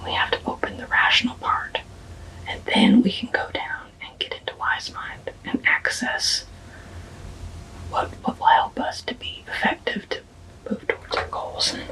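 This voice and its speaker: A whisper moves at a fairly slow pace with long, frequent pauses, set against noticeable background noise. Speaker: counselor. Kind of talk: ASMR educational talk to camera. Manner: whispered.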